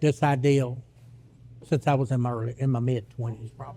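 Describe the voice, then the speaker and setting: A man's somewhat breathy voice with a dark, mellow tone at a moderate pace. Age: 60s. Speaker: author. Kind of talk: casual chat. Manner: halting.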